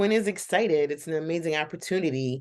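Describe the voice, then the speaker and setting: An animated tone over a quiet background. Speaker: YouTuber reviewing TV shows. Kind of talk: casual reaction commentary.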